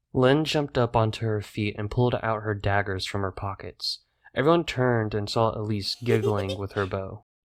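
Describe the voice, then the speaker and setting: A man speaks with an unremarkable speaking voice at a moderate pace, his fairly low pitch moving with ordinary variation, in a very clean recording with a silent background. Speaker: narrator. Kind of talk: audiobook narration.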